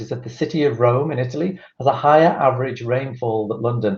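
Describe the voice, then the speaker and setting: Somewhat breathy speech comes from a man. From northern England, Liverpool. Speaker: tourism board representative. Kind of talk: presentation.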